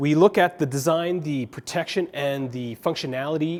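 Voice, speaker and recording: A man speaks with a fairly high pitch. It is a plain, everyday voice. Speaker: tech reviewer. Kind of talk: product review.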